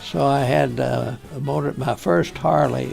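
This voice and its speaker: Background music is playing. The man's speech moves at a fairly slow pace. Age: 80s+. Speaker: war veteran and university chancellor. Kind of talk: interview answer.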